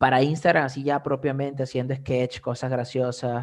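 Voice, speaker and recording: A man's fairly high voice with a Venezuelan accent, at a fairly slow pace, on a very clean recording with a silent background. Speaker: comedian and content creator. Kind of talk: casual interview chat.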